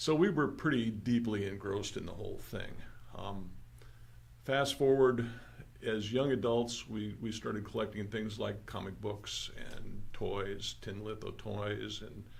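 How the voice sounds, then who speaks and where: Vocal fry marks this voice with an American accent, which moves at a fairly slow pace with fairly even intonation and audible room echo. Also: man, fairly low pitch for a man. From Southern California, San Fernando Valley. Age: 70s. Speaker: magazine co-creator and collector. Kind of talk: casual interview.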